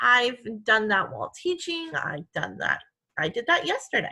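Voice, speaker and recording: In a Midwestern accent, the voice has a bright, sharp tone and very wide pitch swings. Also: woman. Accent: Midwest. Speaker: elementary school teacher. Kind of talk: tutorial. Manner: slow, clear teacher talk.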